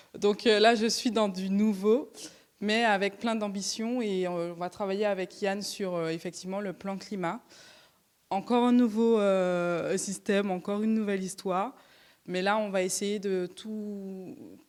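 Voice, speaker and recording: A woman with a Martinican accent, fairly even intonation and a fairly slow pace, in a very clean recording with a silent background. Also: medium pitch for a woman. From Martinique. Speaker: regional climate plan officer. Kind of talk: brief self-introduction at public meeting.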